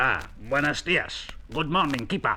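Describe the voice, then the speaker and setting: Clear background noise behind a put-on character voice. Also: man, fairly high pitch for a man, moderate pace. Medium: read story. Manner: excitable, repetitive.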